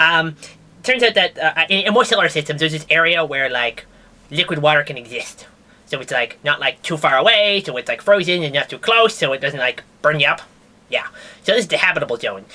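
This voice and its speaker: A cartoonish character voice at a middle pitch moves along at a fairly quick pace. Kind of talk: comedic puppet science news. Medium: puppet. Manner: casual, rambling.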